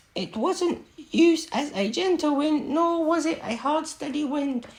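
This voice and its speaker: In a put-on, squeaky character voice, a woman pitches herself extremely high. Her delivery is fairly slow. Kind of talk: storybook reading. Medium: read story. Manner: halting, stumbling.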